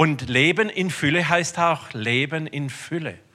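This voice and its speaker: With a very clean recording and silent background, a man sounds animated, with ordinary pitch variation. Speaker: preacher. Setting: church. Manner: animated, conversational, humorous, direct address to the congregation.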